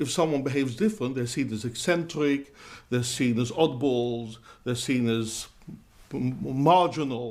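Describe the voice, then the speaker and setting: A man speaks with lively intonation. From London. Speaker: rabbi. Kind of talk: interview. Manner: hesitant, with fillers.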